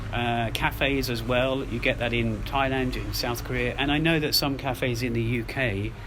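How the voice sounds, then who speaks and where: Amid noticeable background noise and audible room echo, a man speaks at a moderate pace with hardly any pauses. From UK. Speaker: podcast host. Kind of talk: casual monologue. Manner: halting, with self-corrections.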